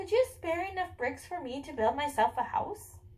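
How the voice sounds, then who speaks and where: Squeaky and put-on, this character voice moves at a moderate pace with very wide pitch swings. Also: woman, high pitch for a woman. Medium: read story.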